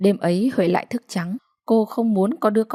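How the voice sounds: In a natural reading voice with ordinary pitch variation, the speaker reads against a quiet background.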